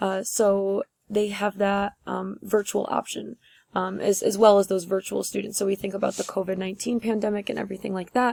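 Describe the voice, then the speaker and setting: A medium-pitched woman with an American accent, monotone and flat, at a fairly quick pace, in a dry, close sound with no echo on a very clean recording with a silent background. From upstate New York (near Utica). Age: 20s. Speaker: teacher. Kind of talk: class presentation video. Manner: casual with many fillers.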